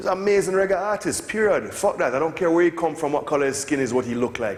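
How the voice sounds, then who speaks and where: Talking at a very fast pace with lively intonation, a man with a Jamaican accent and a high pitch for a man comes through audible room echo and noticeable background noise. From Jamaica (Kingston). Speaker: music producer. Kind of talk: lecture Q&A. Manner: animated.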